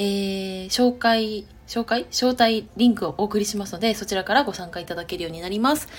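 The speaker talks at a fairly quick pace with music playing in the background. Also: woman. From Chiba, Japan. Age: 30s. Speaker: podcaster and web writer, civil engineering worker. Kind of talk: casual solo podcast monologue. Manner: hesitant, many fillers.

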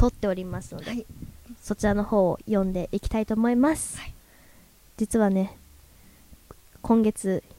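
A woman with a dark, mellow voice at a medium pitch talks at a moderate pace with fairly even intonation, long, frequent pauses and big swings in loudness, the sound dry and close with no echo. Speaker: radio host. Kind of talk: casual chat. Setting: live recording with audience.

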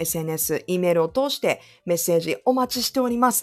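Her voice a normal speaking voice, a woman talks at a moderate pace in a medium pitch with lively intonation. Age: 40s. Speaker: radio DJ and podcast co-host. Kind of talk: casual chat.

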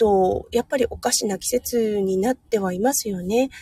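Somewhat breathy, the woman's dark, mellow tone sits at a fairly high pitch with ordinary pitch variation. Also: dry, close sound with no echo. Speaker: nurse and livestream host. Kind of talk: casual morning livestream talk. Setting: in a car in hospital parking lot. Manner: cheerful, upbeat.

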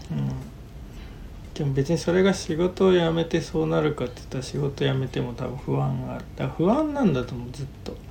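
A man talks fairly quickly over noticeable background noise. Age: 30s. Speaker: podcast host. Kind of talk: casual chat.

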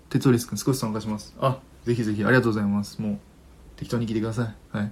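Somewhat breathy, a man speaks quite quickly at medium pitch with fairly even intonation. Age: 20s. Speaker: livestream radio host. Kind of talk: casual chat. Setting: live stream with listener comments.

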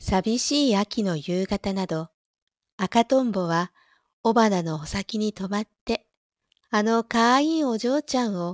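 A woman speaks at a fairly slow pace and medium pitch with lively intonation, on a very clean recording with a silent background and a dry, close sound with no echo. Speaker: audio streamer who reads stories aloud. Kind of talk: reading aloud; casual chat. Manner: louder in dialogue lines.

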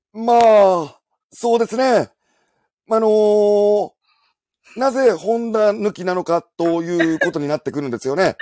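In a Kansai accent, the voice has a dark, mellow tone, ordinary pitch variation and a fairly slow pace with long, frequent pauses. The sound is dry and close with no echo, on a very clean recording with a silent background. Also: man, high pitch for a man. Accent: Kansai Japanese. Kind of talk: casual banter, imitation demonstration.

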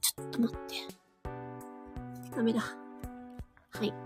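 A woman's voice with music in the background. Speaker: audio streaming host, amateur voice actor. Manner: casual, chatty, many fillers.

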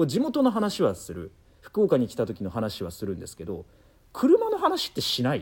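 A man at a moderate pace. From Nagoya, Aichi, Japan. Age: 30s. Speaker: radio and TV announcer. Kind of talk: casual chat. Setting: studio.

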